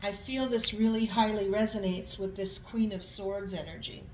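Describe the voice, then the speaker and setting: Noticeable background noise and audible room echo accompany a woman speaking at a fairly high pitch. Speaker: tarot reader. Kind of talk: tarot reading.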